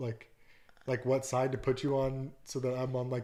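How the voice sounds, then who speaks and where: A soft-spoken man at a moderate pace, his pitch medium. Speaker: podcast guest, fiance of host. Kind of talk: casual chat.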